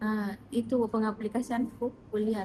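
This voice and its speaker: A woman's fairly high-pitched voice. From South Sulawesi, Indonesia. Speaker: private tutor, job interview candidate. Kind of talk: job interview (mock).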